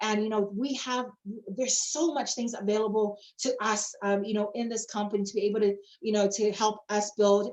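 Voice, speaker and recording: Her pitch is fairly high, with ordinary pitch variation. The woman talks at a fairly quick pace. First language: not English. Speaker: network marketing presenter. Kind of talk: sales presentation. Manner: animated.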